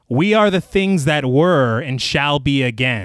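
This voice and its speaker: A man puts on a croaky character voice with a fairly high pitch, speaking at a fairly slow pace. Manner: creepy.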